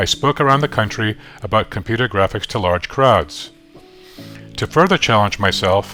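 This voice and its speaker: A man's lively intonation with long, frequent pauses, over music in the background. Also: moderate pace. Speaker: classroom teacher. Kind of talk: personal story narration.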